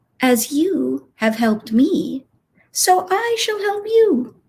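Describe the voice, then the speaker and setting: In a put-on character voice, a woman talks at a very slow pace with a high pitch and very wide pitch swings. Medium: read story.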